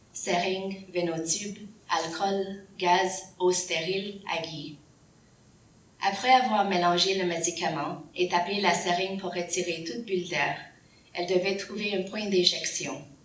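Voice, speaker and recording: A woman's medium-pitched voice at a fairly slow pace, fairly even intonation, audible room echo and noticeable background noise. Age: 40s. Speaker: patient advocate speaker. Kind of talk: prepared speech.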